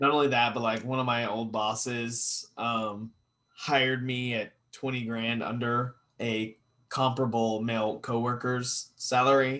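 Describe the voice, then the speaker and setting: Speaking at a fairly slow pace, a man with an American accent holds a medium pitch in a monotone, flat delivery. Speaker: podcast co-host. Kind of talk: casual chat.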